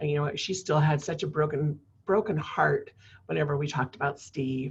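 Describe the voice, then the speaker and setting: A woman speaks at a very deep, low pitch with vocal fry. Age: 60s. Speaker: suicide prevention director. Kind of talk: personal testimony in interview. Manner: halting, many fillers.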